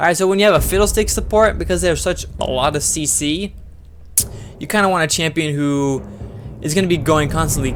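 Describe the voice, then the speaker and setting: A man rattles along at a very fast pace, with ordinary pitch variation, through noticeable background noise. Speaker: game streamer. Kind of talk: tutorial. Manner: loud; casual, chatty with viewers.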